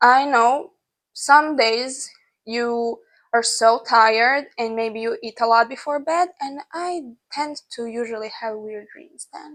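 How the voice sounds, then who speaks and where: Against a quiet background, the speaker has a non-native accent and ordinary pitch variation. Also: woman. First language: not English. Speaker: lifestyle vlogger. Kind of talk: casual advice vlog. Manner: conversational with fillers.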